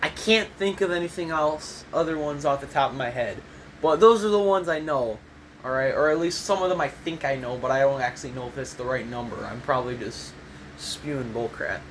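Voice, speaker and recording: With an American accent and lively intonation, a man with a fairly high pitch talks at a fairly quick pace against noticeable background noise. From US Midwest, Michigan. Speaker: gaming YouTuber. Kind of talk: tutorial. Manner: casual, rambling with fillers.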